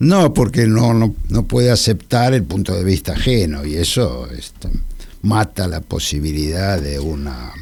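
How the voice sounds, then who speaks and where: Against noticeable background noise, a man with a very deep, low voice talks at a fairly slow pace and swings his pitch very widely. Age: 80s+. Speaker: art historian. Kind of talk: radio interview. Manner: halting.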